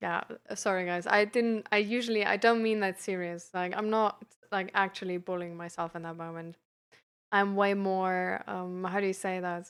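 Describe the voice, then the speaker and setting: A woman at a moderate pace with monotone, flat intonation. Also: medium pitch for a woman, very clean recording, silent background. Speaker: live streamer and peer support coach. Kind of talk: casual live stream chat. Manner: hesitant, many fillers.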